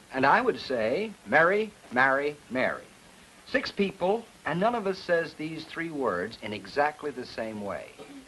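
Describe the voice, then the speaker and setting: Speaking at a fairly slow pace, a man with a fairly high pitch moves through very wide pitch swings. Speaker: dialect lecturer, program host. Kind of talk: educational TV lecture.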